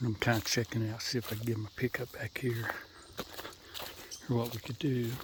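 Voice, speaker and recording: Quiet and monotone, a man with an American accent speaks at medium pitch and a fairly quick pace, broken by long, frequent pauses, with noticeable background noise. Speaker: hog trapper. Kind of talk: outdoor vlog narration. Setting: outdoors. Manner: casual.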